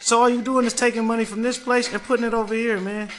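Music plays in the background as a man rushes through his words at a very fast pace. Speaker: podcast host. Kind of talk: radio dj patter; storytelling casual. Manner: animated, high-energy; casual slangy.

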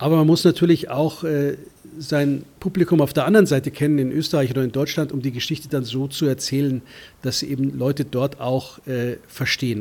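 Here a man talks at a fairly quick pace with a fairly high pitch. His voice comes across as somewhat breathy. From Germany, Munich. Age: 50s. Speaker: foreign correspondent. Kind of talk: interview.

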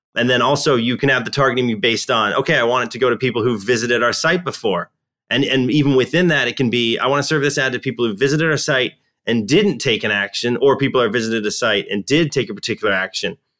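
Over a silent background in a very clean recording, a man with a medium-pitched, bright, sharp voice talks at a very fast pace, with ordinary pitch variation and very even loudness. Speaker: marketing strategist. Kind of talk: roundtable discussion.

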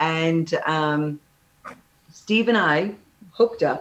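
A woman speaks with a Midwestern American accent, her pitch fairly low and her pitch variation ordinary. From Illinois, Kankakee. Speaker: singer-songwriter. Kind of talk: radio interview.

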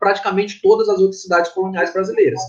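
A man speaks with ordinary pitch variation. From Maranhão, Brazil (Tuntum, then São Luís). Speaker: graffiti artist and architect. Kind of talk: interview. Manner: halting, repeats words. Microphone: connection problems at start.

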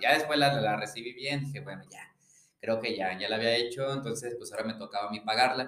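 Big swings in loudness mark a man's medium-pitched voice as he speaks at a very fast pace with ordinary pitch variation. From Mexico, León, Guanajuato. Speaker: podcast co-host. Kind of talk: casual chat.

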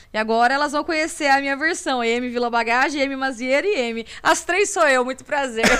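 A woman's high voice at a moderate pace with hardly any pauses, ordinary pitch variation, and noticeable background noise. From Brazil, Campinas (São Paulo state). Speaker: singer. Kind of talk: interview.

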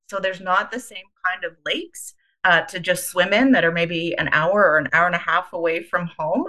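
A woman with a Canadian Prairies accent, medium pitch, ordinary pitch variation, a bright, sharp tone and a moderate pace. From Canada, Winnipeg, Manitoba. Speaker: charity CEO. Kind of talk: interview.

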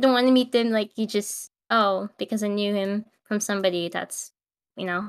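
A woman with an unremarkable speaking voice talks at a moderate pace in a medium pitch with fairly even intonation, heard in a very clean recording with a silent background and a dry, close sound with no echo. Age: 20s. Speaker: podcast co-host. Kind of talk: casual chat.

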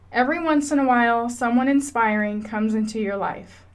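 At a fairly slow pace, a woman talks with ordinary pitch variation amid audible room echo. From Washington State, US. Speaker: podcaster. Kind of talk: personal monologue.

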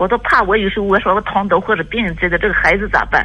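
A woman speaks at a fairly quick pace. Her pitch is medium and her intonation fairly even. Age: 50s. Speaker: caller. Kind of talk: call-in advice conversation. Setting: phone call. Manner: hesitant, halting.

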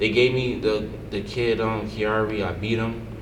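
A medium-pitched man with an American accent at a moderate pace, amid noticeable background noise and audible room echo. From New Jersey, Paterson. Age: 20s. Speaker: professional boxer. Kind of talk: casual chat.

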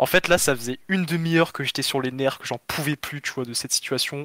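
This man has a plain, everyday voice of medium pitch with fairly even intonation, recorded with a dry, close sound and no echo. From southern France, Perpignan. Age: 20s. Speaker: caller telling travel story. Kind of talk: casual storytelling.

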